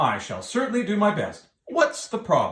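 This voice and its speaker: Someone does a put-on character voice at a fairly high pitch and moderate pace, with a slight echo. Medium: read story.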